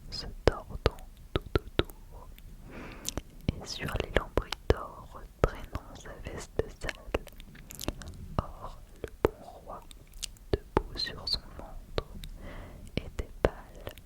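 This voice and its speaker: A woman whispering at a very slow pace, with long, frequent pauses, big swings in loudness and noticeable background noise. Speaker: ASMR creator. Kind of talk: ASMR poetry reading. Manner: whispered, slow, close to the microphone.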